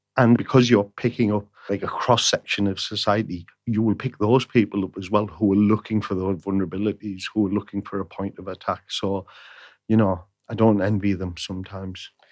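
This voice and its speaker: Fairly quick, monotone speech from a man with a Teesside accent, fairly low in pitch, over a quiet background. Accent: broad Middlesbrough. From northern England, Middlesbrough (Teesside). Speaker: playwright and screenwriter. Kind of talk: interview conversation. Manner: repeats words, hesitant restarts.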